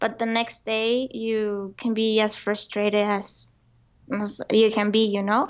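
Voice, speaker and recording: With a Spanish accent, a woman speaks fairly slowly in a fairly high pitch and a monotone, flat intonation. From Colombia. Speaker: entrepreneur. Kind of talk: interview.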